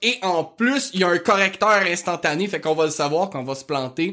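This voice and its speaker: In a strong Quebec accent, a man with a high pitch talks in an animated tone at a moderate pace with ordinary pitch variation. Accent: strong rural Québécois. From rural Quebec. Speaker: history podcast host. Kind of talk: casual podcast monologue.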